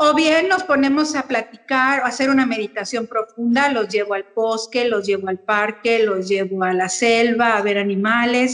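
A woman's unremarkable speaking voice at a moderate pace, with ordinary pitch variation and hardly any pauses. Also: fairly high pitch for a woman. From Mexico City. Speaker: Montessori educator. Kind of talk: interview.

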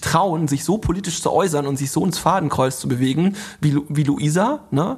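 A man talks with ordinary pitch variation. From rural Germany. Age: 30s. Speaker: influencer marketing agency founder. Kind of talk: interview.

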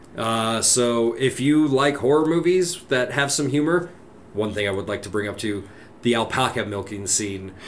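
There is noticeable background noise and audible room echo. A man with a medium pitch talks at a moderate pace with lively intonation. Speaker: podcast co-host. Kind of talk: casual chat.

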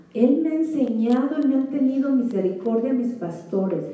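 Ordinary pitch variation comes through amid noticeable background noise and audible room echo. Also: woman. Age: 40s. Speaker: women's ministry speaker. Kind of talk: sermon; testimony. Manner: animated.

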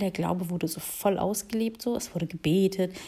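A woman speaks at a moderate pace in a medium pitch, her tone dark and mellow and somewhat breathy, with ordinary pitch variation. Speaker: podcaster. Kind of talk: solo monologue. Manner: spontaneous, hesitant with fillers.

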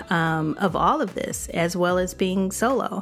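Speaking very slowly, this woman draws out her words. She has an American accent. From Chicago. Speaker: podcast host and life coach. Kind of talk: casual monologue. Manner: animated.

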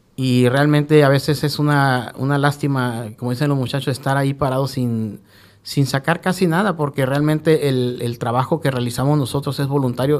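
A man at a fairly high pitch and moderate pace with fairly even intonation, on a very clean recording with a silent background. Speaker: Red Cross rescue coordinator. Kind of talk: radio interview. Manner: halting, with repetitions.

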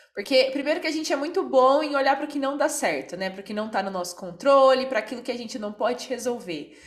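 A woman's high, lively voice at a very fast pace with hardly any pauses, over noticeable background noise. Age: 20s. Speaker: podcast host. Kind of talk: casual chat.

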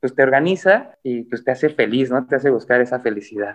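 A man at a very fast pace. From Mexico. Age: 30s. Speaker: professional climber. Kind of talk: casual chat.

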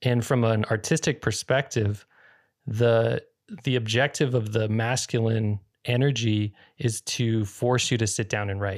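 A man with an American accent and a normal speaking voice, medium in pitch, fairly slow, with fairly even intonation, on a very clean recording with a silent background. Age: 30s. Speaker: podcast host. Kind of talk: interview.

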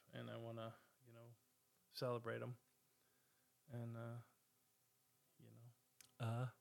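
A man speaks at a moderate pace, broken up by long, frequent pauses. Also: big swings in loudness. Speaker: podcast host. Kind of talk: casual solo chat. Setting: home recording at a table. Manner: halting, many fillers.

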